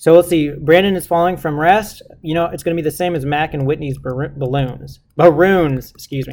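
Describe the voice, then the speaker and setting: A man speaks at a fairly quick pace. His pitch is fairly high. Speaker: physics teacher. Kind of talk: tutorial. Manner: fast; casual, informal.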